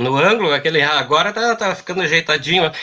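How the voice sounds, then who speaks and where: Lively intonation and a bright, sharp tone from a man with a southern Brazilian accent. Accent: gaúcho Brazilian Portuguese. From Pelotas, southern Brazil. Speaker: university administrative staff. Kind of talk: casual chat.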